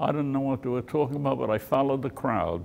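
Speaking in a New York accent, the man has a fairly high voice. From New York City, Brooklyn; New York City. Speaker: war veteran. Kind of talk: testimony. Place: hall. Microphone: studio mic.

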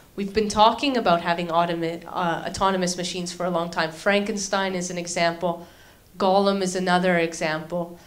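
A woman with a Canadian accent speaks at a moderate pace in a fairly low voice with monotone, flat intonation, and the room echo is audible. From Canada. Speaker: university lecturer and robotics researcher. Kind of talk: lecture.

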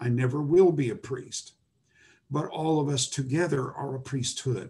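Somewhat breathy and dark, mellow in tone, a man's fairly high voice moves with ordinary pitch variation. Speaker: Bible lecturer. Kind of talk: lecture. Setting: video call. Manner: halting. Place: home room. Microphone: webcam.

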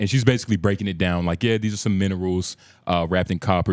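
Very deep and low, a man's voice races at a very fast pace. The sound is dry with no echo. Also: quiet background. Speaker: podcast host. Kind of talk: casual chat. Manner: animated. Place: studio. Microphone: handheld.

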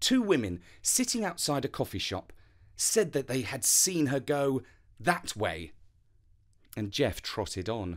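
A man speaks at a fairly slow pace with long, frequent pauses, his medium pitch swinging very widely and showing vocal fry. His tone is calm and soothing, on a very clean recording with a silent background. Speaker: storyteller. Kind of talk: bedtime story narration, read aloud. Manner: calm, soothing, gentle storytelling pace.

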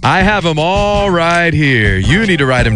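Clear music plays in the background as someone speaks at a moderate pace in a dry sound with no echo. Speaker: radio DJ, on-air host. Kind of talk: radio station host banter with contest. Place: studio.

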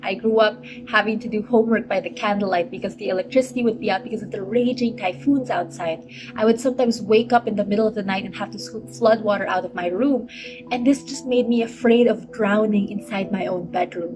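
The voice has ordinary pitch variation, with noticeable background noise in the recording. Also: woman, fairly high pitch for a woman. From Philippines. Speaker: climate justice activist. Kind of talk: advocacy statement to camera. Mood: earnest, serious. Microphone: phone near.

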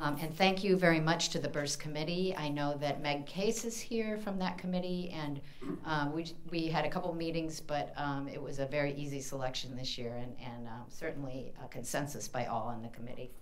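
A woman with an American accent speaks at a fairly quick pace with hardly any pauses. Her pitch is very deep and low, with ordinary pitch variation. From US Midwest, Indiana. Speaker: university library dean. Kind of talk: event introduction. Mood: warm, grateful. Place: hall. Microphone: podium.

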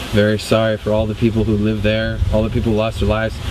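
The sound is dry with no echo, but noticeable background noise runs underneath. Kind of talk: commentary. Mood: awed, somber. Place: open country. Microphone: old recording.

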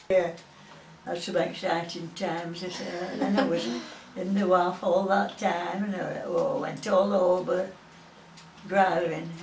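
With a Lancashire accent, a woman speaks at a medium pitch and a fairly slow pace, with fairly even intonation and long, frequent pauses, amid audible room echo and light background noise. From Preston, Lancashire, England. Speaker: war veteran. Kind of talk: oral history interview answer. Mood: fond, cheerful memories. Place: home room. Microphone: camera far.

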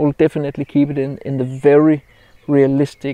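The recording of this man is dry, with no echo. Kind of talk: casual vlog chat. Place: open country. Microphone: lapel.

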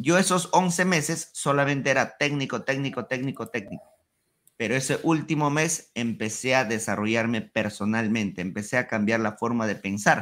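Speaking with a Peruvian accent at a moderate pace against a quiet background, a man uses lively intonation in a medium-pitched voice. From Peru, Huancayo (central Andes). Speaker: ecommerce entrepreneur; podcast guest. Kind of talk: interview.

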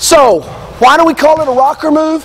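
The pace is moderate. It is a man talking. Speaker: basketball coach. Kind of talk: instructional coaching demonstration. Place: hall.

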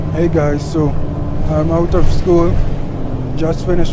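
Loud background noise surrounds a man talking at a fairly slow pace. The sound itself is dry with no echo. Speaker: student vlogger. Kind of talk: casual vlog chat. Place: bus. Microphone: earbuds.

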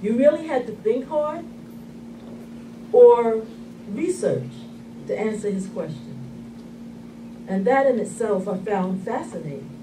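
Against noticeable background noise, a woman talks at a fairly slow pace, leaving long, frequent pauses. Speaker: speaker. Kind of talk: eulogy. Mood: warm, reflective remembrance. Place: hall. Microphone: camera far.

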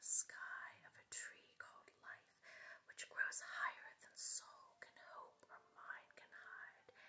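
Whispering at a very slow pace, a woman speaks with an American accent. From West Virginia. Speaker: poet. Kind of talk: poetry reading. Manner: whispered. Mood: tender, romantic, soothing.

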